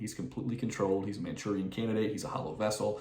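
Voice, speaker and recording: In audible room echo, a man with an American accent speaks at medium pitch. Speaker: political commentator. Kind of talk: casual commentary monologue. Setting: at home late at night. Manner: quiet, reserved.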